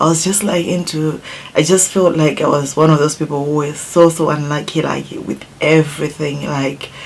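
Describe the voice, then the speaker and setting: A woman with a Zimbabwean accent speaks at a moderate pace in a very deep, low voice with monotone, flat intonation. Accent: Zimbabwean, non-native English. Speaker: beauty YouTuber. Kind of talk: casual vlog talk to viewers; casual vlog chat.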